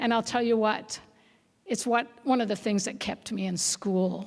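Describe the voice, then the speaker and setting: A woman talks at a moderate pace. She has an ordinary speaking voice with ordinary pitch variation. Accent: American. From Oregon, Salem. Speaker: school board candidate. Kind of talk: candidate forum answer.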